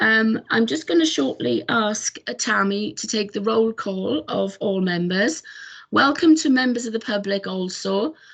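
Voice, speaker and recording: Speaking with a Welsh accent, a somewhat breathy woman goes at a fairly slow pace with very wide pitch swings. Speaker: committee chair. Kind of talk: formal meeting chairing. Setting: video call. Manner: hesitant, many fillers.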